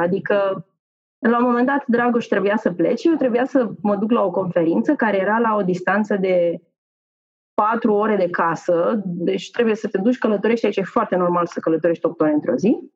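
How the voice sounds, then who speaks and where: A woman's unremarkable speaking voice, fairly high in pitch, at a moderate pace with very even loudness. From Romania. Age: 40s. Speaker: corporate manager. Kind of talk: casual interview.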